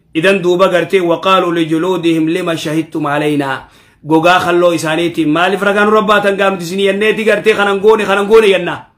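A man with an Ethiopian accent speaks at a very fast pace with hardly any pauses. His high voice keeps fairly even intonation over a quiet background. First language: Oromo (speaking Arabic). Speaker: Islamic preacher. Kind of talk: Quran commentary lesson. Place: office.

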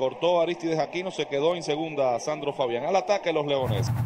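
A man's fairly high voice with ordinary pitch variation, at a fairly quick pace, over noticeable background noise. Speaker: baseball play-by-play announcer. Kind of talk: sports commentary, live play-by-play. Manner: animated, energetic.

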